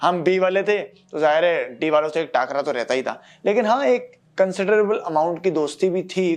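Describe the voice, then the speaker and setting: The intonation is lively. The pace is moderate. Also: man. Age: 20s. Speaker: podcaster. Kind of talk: solo podcast monologue. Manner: casual, conversational.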